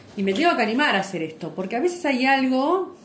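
A woman speaks fairly quickly in a high voice. There is noticeable background noise and audible room echo. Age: 50s. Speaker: podcast co-host, yoga and astrology teacher. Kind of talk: casual chat. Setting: live stream recording.

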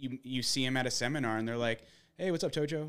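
A man with an American accent talks at a fairly quick pace in a plain, everyday voice, medium in pitch with ordinary pitch variation, on a very clean recording with a silent background. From Arizona, US. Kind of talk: casual chat. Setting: home studio.

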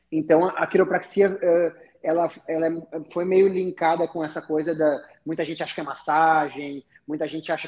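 A man in a southern Brazilian accent, fairly high in pitch, at a moderate pace. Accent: gaúcho. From Rio Grande do Sul, southern Brazil (Taquara). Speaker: chiropractor. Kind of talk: casual chat.

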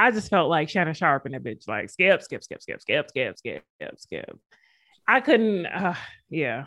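On a very clean recording with a silent background, a woman with a fairly low pitch, vocal fry and a bright, sharp tone speaks at a fairly slow pace. Her delivery is animated, with very wide pitch swings and big swings in loudness. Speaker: sports podcast host. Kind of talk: casual sports chat. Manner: animated, joking.

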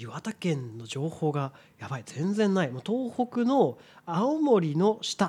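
In a very clean recording with a silent background, a man with a high pitch and a dark, mellow tone speaks at a very slow pace with very wide pitch swings. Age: 30s. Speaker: podcast co-host. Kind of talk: casual chat.

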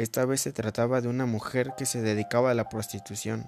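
A medium-pitched man with a normal speaking voice, on a very clean recording against a silent background. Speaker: podcast host. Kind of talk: storytelling narration.

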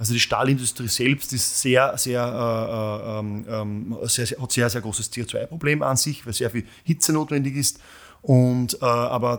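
This man talks at a fairly slow pace, his pitch medium with ordinary variation. The recording is very clean, with a silent background. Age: 40s. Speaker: company founder and CEO. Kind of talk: interview. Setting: studio. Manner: halting, many fillers.

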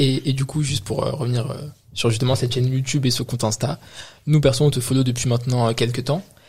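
Over noticeable background noise, a man with a medium-pitched voice talks very fast with fairly even intonation. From France, Moroccan heritage. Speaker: podcast co-host. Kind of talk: casual chat.

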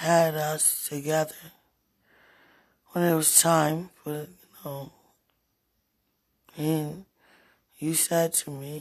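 A quiet woman's voice, very deep and low in pitch, with monotone, flat intonation, big swings in loudness, a very slow pace and long, frequent pauses. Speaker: preacher. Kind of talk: spontaneous prophetic address to listeners. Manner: halting.

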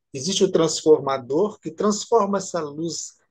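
The man's voice is high, his intonation lively, and his pace moderate. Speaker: physician and regression therapist. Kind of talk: interview.

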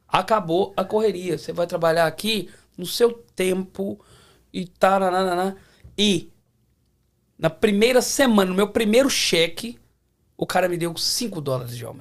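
The speech moves at a fairly slow pace, with long, frequent pauses and big swings in loudness. Pitch varies in an ordinary way. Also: man. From Belo Horizonte, Brazil. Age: 40s. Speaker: mechanic. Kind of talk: casual chat.

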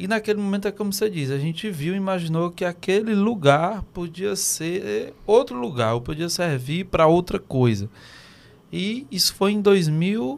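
Lively intonation carries speech that proceeds at a moderate pace. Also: man, high pitch for a man. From Teresina, Piauí, Brazil. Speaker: podcast co-host. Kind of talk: casual chat. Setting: studio.

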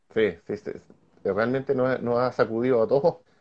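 With a Chilean accent, a man speaks at medium pitch and a moderate pace. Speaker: motocross show host. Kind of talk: casual interview.

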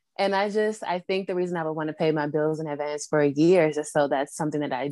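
A woman with an American accent talks at a very fast pace, her pitch very deep and low with ordinary variation. The background is quiet. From Washington, D.C. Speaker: Reiki practitioner. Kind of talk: casual interview conversation. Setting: video call.

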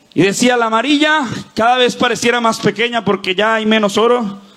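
Noticeable background noise accompanies this recording. A man speaks in an animated tone at a high pitch. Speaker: pastor. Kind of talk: sermon. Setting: church with live audience. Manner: fervent, rallying preacher voice, rising with call-and-response; animated, cadenced declarations with crowd prompts.

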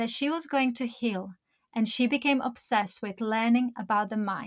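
In a very clean recording with a silent background, a woman with an unremarkable speaking voice talks at a moderate pace, her fairly high pitch showing ordinary variation. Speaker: podcast host. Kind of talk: interview.

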